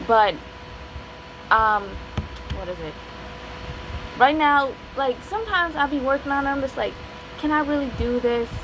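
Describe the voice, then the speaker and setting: Over noticeable background noise, a woman with an American accent speaks in a high voice with lively intonation and long, frequent pauses. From West Virginia, Appalachia. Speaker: aspiring novelist, video creator. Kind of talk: casual vlog talk. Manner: fast, sometimes slurred; rambling, hesitant with fillers.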